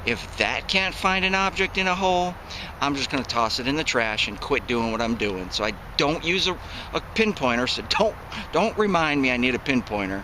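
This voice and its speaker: A fairly high-pitched man with an American accent, fairly quick and full of very wide pitch swings, over noticeable background noise. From upstate New York, Syracuse. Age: 40s. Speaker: metal detecting hobbyist, military retiree. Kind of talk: casual vlog talk to camera. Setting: outdoors in the woods.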